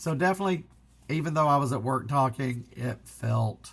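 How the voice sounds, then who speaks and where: A man speaks with a somewhat breathy voice and lively intonation at a moderate pace. The recording is very clean, with a silent background. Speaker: physical media collector. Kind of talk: casual talk to camera.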